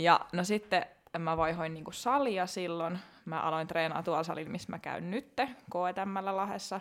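A woman in an ordinary speaking voice talks at a fairly slow pace, her fairly low pitch showing ordinary variation. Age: 30s. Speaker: fitness competitor. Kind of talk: casual interview chat.

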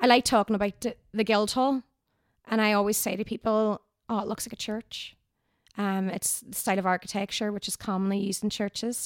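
In a Northern Irish accent, a woman with a fairly high pitch speaks at a fairly quick pace in a monotone, flat intonation, with big swings in loudness. The recording is very clean, with a silent background, and the sound is dry and close with no echo. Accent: Derry Northern Irish. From Northern Ireland, Derry. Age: 30s. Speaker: tour guide. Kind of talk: casual chat.

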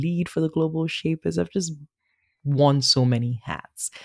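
A woman's dark, mellow tone with lively intonation, in a dry, close sound with no echo and a very clean recording with a silent background. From Nigeria. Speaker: author. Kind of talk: interview with a reading from her memoir. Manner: chatty, laughs often.

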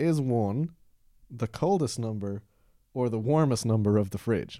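In a very clean recording with a silent background, a man with a Dublin accent speaks at medium pitch in a dark, mellow tone with lively intonation. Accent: Irish (Dublin). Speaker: podcast host, improv performer. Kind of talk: casual comedy chat.

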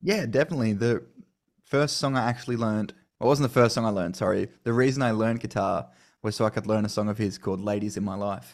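On a very clean recording with a silent background, a man with an Australian accent talks at a very fast pace, a medium pitch, and ordinary pitch variation. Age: 20s. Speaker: country singer-songwriter. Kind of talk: interview.

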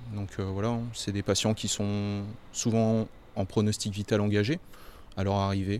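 A man with a fairly low voice speaks at a fairly slow pace in a monotone, flat intonation, with long, frequent pauses. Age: 30s. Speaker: intensive care nurse. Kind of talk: interview.

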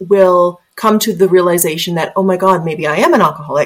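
A woman talks at a moderate pace and a medium pitch. Hers is an ordinary speaking voice. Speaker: podcast host. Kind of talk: casual interview chat.

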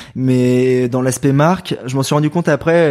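At a moderate pace, a man speaks at medium pitch with a dark, mellow tone. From Paris region, Val-de-Marne. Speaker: ultra trail runner. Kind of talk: podcast interview. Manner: animated.

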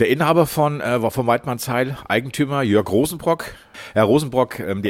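A man is talking. His pitch swings very widely. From Hesse, Germany. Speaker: podcast host and reporter. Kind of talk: casual chat.

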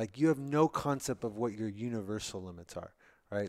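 A very clean recording with a silent background, featuring a man at a moderate pace. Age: 30s. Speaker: entrepreneur, brain surgery patient. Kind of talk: casual interview.

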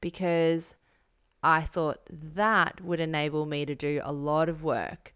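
A woman speaks at a very slow pace with a very deep, low pitch. The recording is very clean and the background silent. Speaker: podcast co-host. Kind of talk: casual podcast chat.

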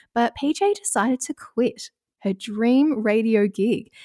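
The voice carries an Australian accent. The sound is dry and close with no echo, in a very clean recording over a silent background. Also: woman. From Australia, Ballarat. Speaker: radio presenter and podcast host. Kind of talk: casual chat. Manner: calm, mellow tone.

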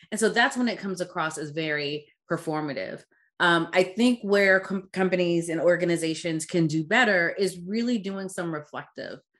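A normal speaking voice from a fairly low-pitched woman, ordinary pitch variation, a moderate pace and a quiet background. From Caribbean-born, raised in US. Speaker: DEI consultant and founder. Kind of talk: casual interview conversation.

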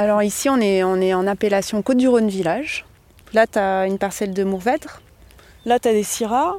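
A woman with an unremarkable speaking voice, medium pitch, ordinary pitch variation and a fairly quick pace. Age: 40s. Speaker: winemaker. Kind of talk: casual interview.

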